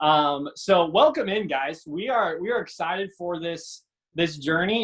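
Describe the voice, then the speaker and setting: A man with a high voice and an American accent, animated in tone, at a moderate pace with ordinary pitch variation. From Iowa. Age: 20s. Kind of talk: casual chat.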